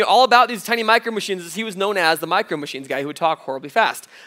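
A man speaks in a raised, projected voice at a very fast pace, with a bright, sharp, animated tone. His intonation is lively, and the background is quiet. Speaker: youth pastor; guest preacher. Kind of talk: sermon. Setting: stage with audience. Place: church.

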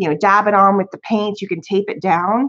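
With fairly even intonation, a woman talks at a fairly quick pace over a quiet background. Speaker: crafting channel host. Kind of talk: casual live-stream haul chat.

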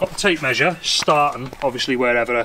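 Clear noise can be heard in the background. Over it, a man talks rather quickly. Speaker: DIY vlogger. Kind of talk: casual vlog chat. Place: garden. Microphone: phone near.

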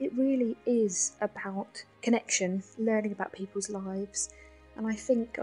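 Music plays in the background behind a London accent. The pitch varies in an ordinary way. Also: woman. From south London. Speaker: nurse and spoken word poet. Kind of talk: interview answer.

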